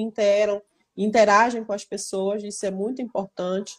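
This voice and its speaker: Her intonation is monotone and flat. The woman's fairly high voice sits on a very clean recording with a silent background. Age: 30s. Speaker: product manager. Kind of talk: casual interview.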